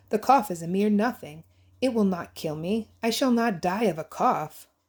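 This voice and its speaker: A female-sounding voice puts on a character voice at a medium pitch. The recording is very clean, with a silent background. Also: moderate pace. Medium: read story. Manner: proud, dismissive.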